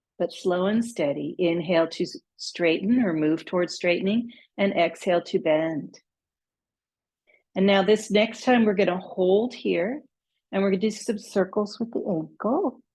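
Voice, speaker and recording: A woman speaks with a normal speaking voice at a medium pitch. Her pitch varies in an ordinary way. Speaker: yoga instructor. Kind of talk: guided yoga class. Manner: slow, calm pacing.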